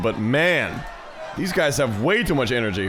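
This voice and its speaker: A man's voice moves through very wide pitch swings over noticeable background noise. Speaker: streamer playing a visual novel. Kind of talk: reading game text aloud with live commentary. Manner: casual, excitable.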